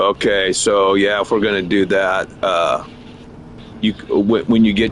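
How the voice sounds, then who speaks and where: A man talks fairly slowly at a fairly low pitch, his intonation flat and monotone. Noticeable background noise sits behind him. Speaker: gaming streamer. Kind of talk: casual chat. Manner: halting.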